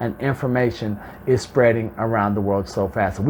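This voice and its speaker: Noticeable background noise accompanies a speaker with an American accent. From Alabama, USA. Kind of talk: professional, business talk.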